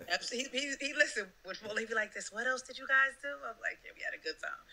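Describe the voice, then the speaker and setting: Over noticeable background noise, a woman with an American accent talks at a very fast pace in a raised, projected voice, her animated tone pitched high with ordinary pitch variation and big swings in loudness. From New Jersey. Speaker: rapper. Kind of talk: casual chat.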